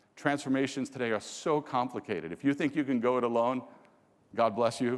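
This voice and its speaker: With a New York accent, a man talks at a fairly quick pace and medium pitch, his tone animated yet his pitch variation ordinary. The recording is very clean, with a silent background. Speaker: business executive. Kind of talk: keynote presentation. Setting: stage with audience. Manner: fast.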